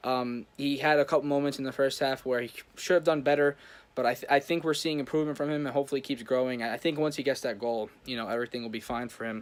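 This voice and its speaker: Very fast speech comes from a man with a fairly high pitch. His intonation is fairly even. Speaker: football YouTuber / fan commentator. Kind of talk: casual match recap vlog. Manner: hesitant, many fillers.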